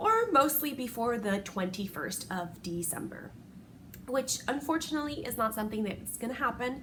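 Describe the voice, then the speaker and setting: Speaking at a moderate pace, a woman uses lively intonation in a high voice. Background noise can be clearly heard. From Puerto Rico. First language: Spanish. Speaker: crochet podcaster. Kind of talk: casual podcast chat.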